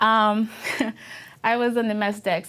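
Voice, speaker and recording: A woman with a strong Filipino accent at a moderate pace, on a very clean recording with a silent background. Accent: thick Filipino. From Philippines. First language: Filipino language. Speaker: Navy veteran. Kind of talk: oral history interview. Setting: university media studio. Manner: halting, many fillers.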